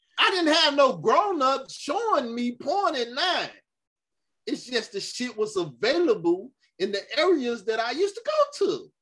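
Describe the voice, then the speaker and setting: Speaking at a fairly slow pace, a man has an extremely high pitch and a bright, sharp tone. His delivery is animated, with very wide pitch swings. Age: 40s. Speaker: internet commentator. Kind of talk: casual chat.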